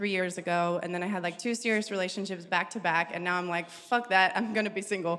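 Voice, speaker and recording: A woman speaks at a medium pitch in a flat monotone, at a fairly quick pace. Noticeable background noise and audible room echo are present. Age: 30s. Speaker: panelist, mother. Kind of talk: panel introduction. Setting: stage with live audience.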